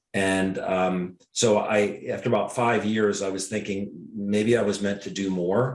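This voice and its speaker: With a Mid-Atlantic American accent, a man speaks in a fairly low pitch and monotone, flat intonation amid audible room echo. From Washington, D.C. area. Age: 60s. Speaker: podiatrist and network marketer. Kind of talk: interview.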